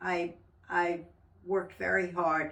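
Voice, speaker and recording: Very slowly, a woman speaks with a fairly low pitch. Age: 90s. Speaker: women's organization member. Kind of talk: interview reminiscence. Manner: halting.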